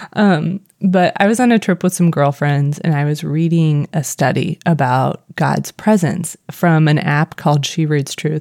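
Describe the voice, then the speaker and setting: Speaking at a fairly slow pace, a woman has a very deep, low voice. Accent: Missouri. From Missouri, US. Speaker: podcast co-host.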